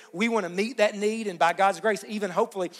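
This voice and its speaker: The speaker sounds animated, with an Appalachian accent. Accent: Appalachian Kentucky. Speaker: pastor. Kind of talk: sermon. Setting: church service with congregation. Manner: animated, emphatic.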